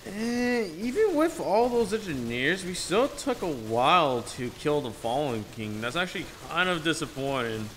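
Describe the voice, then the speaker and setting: A high-pitched man at a moderate pace, with very wide pitch swings and noticeable background noise. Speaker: gaming youtuber. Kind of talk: gameplay commentary. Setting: echoey room in new house. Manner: halting, with filler words.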